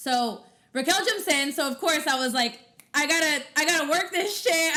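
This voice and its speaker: Over noticeable background noise, a woman with a high voice projects loudly, her intonation lively and her pace moderate. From Mexican heritage. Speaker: podcast co-host and radio host. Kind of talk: casual chat.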